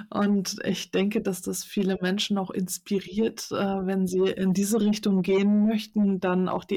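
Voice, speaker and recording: At a fairly slow pace, a woman speaks in a somewhat breathy voice with medium pitch and fairly even intonation. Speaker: podcast host. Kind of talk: interview. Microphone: too close to mic, overdriven.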